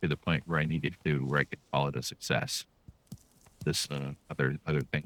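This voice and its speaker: With vocal fry and a very deep, low pitch, a man speaks fairly quickly in a flat monotone. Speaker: comedian and video editor. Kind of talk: casual gaming commentary. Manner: mellow, soothing.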